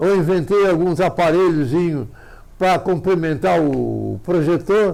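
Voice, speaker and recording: Music plays in the background. A man talks at a fairly slow pace and a high pitch. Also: ordinary pitch variation. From Santa Catarina, Brazil. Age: 90s. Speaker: amateur astronomer. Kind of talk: interview.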